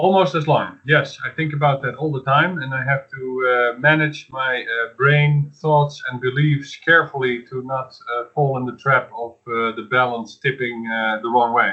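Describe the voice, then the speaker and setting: With a Dutch accent, a man talks at a moderate pace with fairly even intonation and hardly any pauses. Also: medium pitch for a man. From Netherlands. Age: 50s. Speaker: podcast host. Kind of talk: casual chat.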